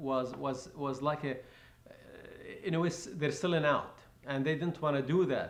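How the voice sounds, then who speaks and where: Speaking at a moderate pace, a man with a fairly high pitch shows ordinary pitch variation amid audible room echo. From Lebanon, Palestinian refugee camp. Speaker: refugee camp survivor. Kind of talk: oral history interview. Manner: halting, many fillers and repetitions.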